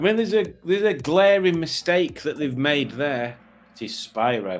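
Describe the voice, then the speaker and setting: A man in a Yorkshire accent, fairly high in pitch, with very wide pitch swings at a moderate pace. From Yorkshire, northern England. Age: 50s. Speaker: quiz show host streamer. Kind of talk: casual livestream quiz.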